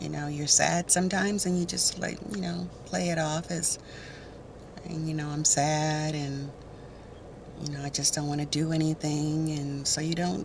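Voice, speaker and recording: Amid noticeable background noise, a woman talks at a moderate pace with a very deep, low pitch and ordinary pitch variation. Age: 60s. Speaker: beauty vlogger. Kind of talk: casual chat. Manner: halting.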